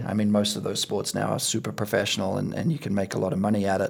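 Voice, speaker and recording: With an Australian accent, a man speaks in a fairly low pitch with monotone, flat intonation. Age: 50s. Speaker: podcast host. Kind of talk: casual interview chat.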